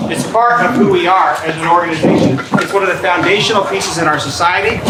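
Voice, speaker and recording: Amid noticeable background noise and audible room echo, a man speaks loudly at a high pitch. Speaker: community organization leader. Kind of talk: meeting welcome speech. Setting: church venue with live audience.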